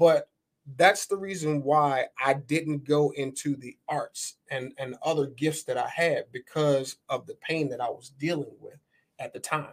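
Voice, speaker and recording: A man's ordinary speaking voice, fairly high in pitch, at a fairly slow pace with fairly even intonation, big swings in loudness and a dry, close sound with no echo. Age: young. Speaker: entrepreneur and former football player. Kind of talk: casual interview chat. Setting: podcast studio.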